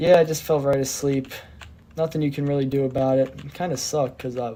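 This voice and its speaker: Speech rushes by at a very fast pace amid noticeable background noise. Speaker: gaming streamer. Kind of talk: casual chat. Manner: slurring words.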